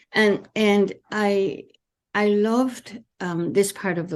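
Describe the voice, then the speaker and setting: A woman with a French accent against a quiet background. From France. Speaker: therapist. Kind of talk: interview. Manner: halting.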